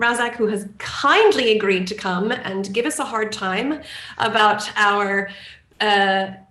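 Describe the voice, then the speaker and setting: A woman with an American accent speaks at a fairly high pitch with fairly even intonation. Audible room echo and noticeable background noise surround her. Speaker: marketing director. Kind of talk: webinar introduction.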